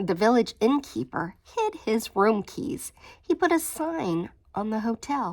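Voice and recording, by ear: The clip is reading aloud. The voice is natural.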